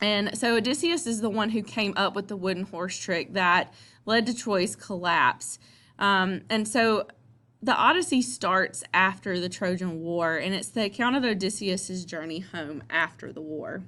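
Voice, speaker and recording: In a Southern US accent, the speaker uses a bright, sharp tone and lively intonation at a fairly slow pace over a quiet background. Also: woman, medium pitch for a woman. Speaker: teacher. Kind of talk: lecture. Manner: casual, with many fillers.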